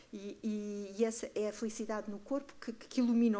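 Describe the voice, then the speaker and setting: Fairly high in pitch with a dark, mellow tone, a woman speaks at a moderate pace. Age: 60s. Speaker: artist and community project director. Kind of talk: panel discussion. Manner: animated, halting with repetitions.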